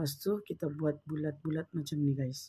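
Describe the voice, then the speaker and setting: A woman's very deep, low voice, somewhat breathy, at a fairly slow pace, on a very clean recording with a silent background. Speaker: home baker vlogger. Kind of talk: cooking tutorial. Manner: casual, chatty.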